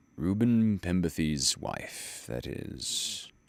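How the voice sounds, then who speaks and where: A man talks at a very slow pace in a very deep, low pitch. His pitch swings very widely. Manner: muttering.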